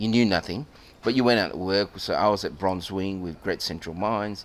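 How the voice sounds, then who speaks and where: A man speaks at a fairly quick pace in an ordinary speaking voice. His pitch is fairly low, with ordinary variation. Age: 60s. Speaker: podcast host and geologist. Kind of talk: interview. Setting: club venue.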